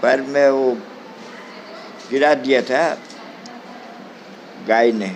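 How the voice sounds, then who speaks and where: A man speaks at a medium pitch with ordinary pitch variation. He leaves long, frequent pauses, and there is noticeable background noise. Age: 80s+. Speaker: old age home resident. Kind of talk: interview. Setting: old age home.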